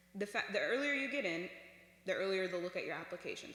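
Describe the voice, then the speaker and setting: Very fast speech against noticeable background noise. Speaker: former student presenter at youth workshop. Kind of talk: informal presentation.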